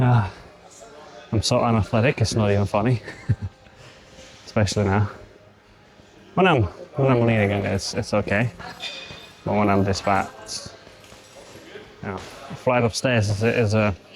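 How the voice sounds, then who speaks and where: Against noticeable background noise, a man with a fairly low pitch speaks at a moderate pace with fairly even intonation and long, frequent pauses. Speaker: bodybuilder and fitness coach. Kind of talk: gym vlog, casual self-talk. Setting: gym. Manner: breathy, panting between phrases.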